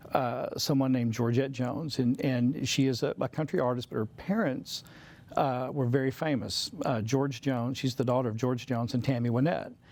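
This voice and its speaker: At a moderate pace, a man with a Southern accent speaks at a medium pitch, his intonation fairly even. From US South. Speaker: composer and musician. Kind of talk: casual interview chat.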